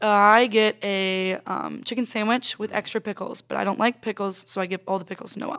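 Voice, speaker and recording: A woman with an American accent and a medium pitch, fairly quick and monotone, on a very clean recording with a silent background. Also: hardly any pauses, dry, close sound with no echo. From Florida. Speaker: college volleyball player. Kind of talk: casual interview.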